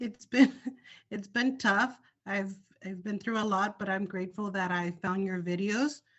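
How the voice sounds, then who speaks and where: A woman's medium-pitched voice with a non-native accent, ordinary pitch variation and a fairly slow pace. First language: not English. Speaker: social worker preparing for licensing exam. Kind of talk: casual chat.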